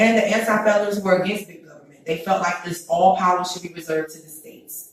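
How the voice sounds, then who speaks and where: A woman with a medium-pitched voice speaks in an animated tone. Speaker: podcast host. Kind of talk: opinionated commentary. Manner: loud.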